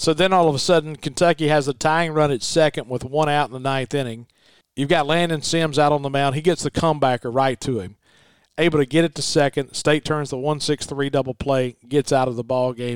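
A man with a Southern US accent talks fairly quickly at a fairly high pitch, his intonation fairly even. The sound is dry and close with no echo, on a very clean recording with a silent background. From Mississippi. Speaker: radio broadcaster.

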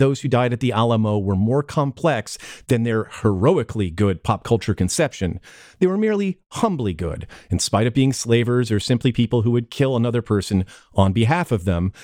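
A man speaks at a fairly quick pace in an ordinary speaking voice. The recording is very clean, with a silent background. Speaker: podcast host. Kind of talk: casual comedic banter, movie review podcast.

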